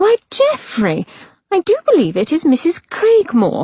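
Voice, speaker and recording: A squeaky, put-on character voice from a woman, extremely high in pitch, at a moderate pace. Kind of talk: formal, affected.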